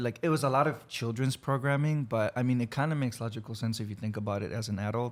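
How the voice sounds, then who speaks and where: A man with a Spanish accent talks at a fairly quick pace in a medium pitch. The recording is very clean, with a silent background. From Mexico, raised in Texas from grade school. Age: 20s. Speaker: guest. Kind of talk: casual interview chat. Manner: clear, concise.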